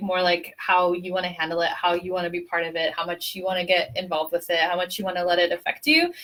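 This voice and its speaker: A woman talks at a fairly quick pace. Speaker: tarot reader. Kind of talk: live tarot reading. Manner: fast.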